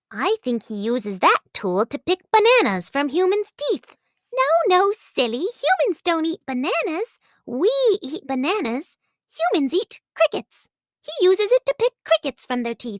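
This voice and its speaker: In a put-on character voice, the speaker sounds squeaky at an extremely high pitch, swinging very widely while keeping a moderate pace. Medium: read story. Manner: excited, silly.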